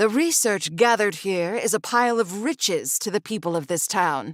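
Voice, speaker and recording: Putting on a character voice at a medium pitch, a woman is heard dry and close with no echo on a very clean recording with a silent background. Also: moderate pace, lively intonation. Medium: video game. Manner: formal, skeptical.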